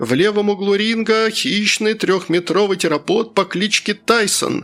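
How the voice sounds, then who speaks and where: With music in the background, a man uses a put-on character voice at a high pitch. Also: moderate pace. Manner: announcing.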